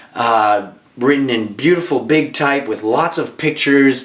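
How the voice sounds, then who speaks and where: Against noticeable background noise, a man speaks in an animated tone with ordinary pitch variation. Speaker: actor and writer. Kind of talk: casual book review vlog. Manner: animated, many fillers and restarts.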